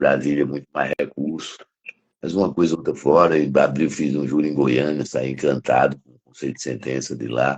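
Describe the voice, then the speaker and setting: Using vocal fry, a man talks at a very deep, low pitch with fairly even intonation and big swings in loudness. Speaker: criminal defense lawyer and professor. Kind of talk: interview conversation. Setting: live stream.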